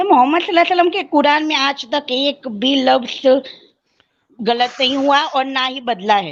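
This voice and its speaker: A woman's voice, high in pitch, with ordinary pitch variation. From Gujarat, India. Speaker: student. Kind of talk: heated debate.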